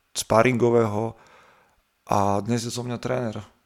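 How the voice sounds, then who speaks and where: This man has an ordinary speaking voice at medium pitch. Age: 30s. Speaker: fitness coach and podcaster. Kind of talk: casual interview. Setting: remote call.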